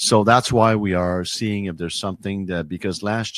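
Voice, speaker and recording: A man with a Quebec accent, fairly low pitch, fairly even intonation and a moderate pace, on a very clean recording with a silent background. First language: French. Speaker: hockey league commissioner. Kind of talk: interview. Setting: studio. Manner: halting, many fillers and repeats.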